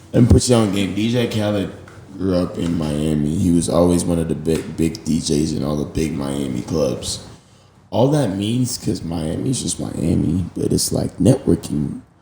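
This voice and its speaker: Against noticeable background noise, a man with an American accent speaks in a very deep, low voice with lively intonation. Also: moderate pace. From Texas, Garland (suburb of Dallas). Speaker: DJ. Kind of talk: casual chat.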